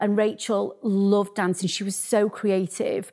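On a very clean recording with a silent background, a woman with a Yorkshire accent speaks at a fairly slow pace in a medium pitch. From northern England, Sheffield. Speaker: arts business founder. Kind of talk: interview. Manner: halting.

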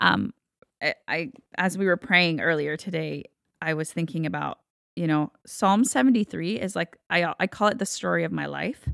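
Moderate pace from a woman with an American accent, in a dry, close sound with no echo. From Texas, Guatemalan-born. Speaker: worship leader. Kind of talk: interview, personal testimony.

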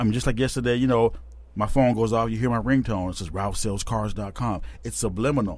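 Amid audible room echo, a man speaks at a very fast pace with fairly even intonation. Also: medium pitch for a man. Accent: American. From Tacoma, Washington, US. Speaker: car salesman. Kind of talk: casual chat.

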